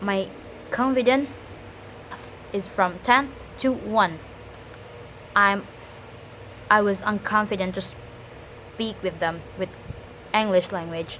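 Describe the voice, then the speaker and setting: A woman with an Indonesian accent speaks at a very slow pace, leaving long, frequent pauses, her medium pitch moving with ordinary variation. Noticeable background noise runs underneath. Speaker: student. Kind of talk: spoken test monologue. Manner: halting.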